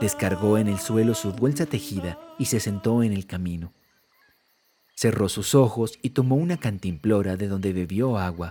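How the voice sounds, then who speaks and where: A man speaks with a fairly low pitch and a dark, mellow tone. His pace is moderate and his pitch varies in an ordinary way. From Colombia. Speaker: music producer and podcaster. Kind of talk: storytelling narration. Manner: altered narration voice.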